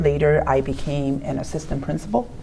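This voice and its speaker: Noticeable background noise sits behind a woman speaking with a Chinese accent at a very deep, low pitch. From China. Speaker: high school principal. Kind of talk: interview. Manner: halting.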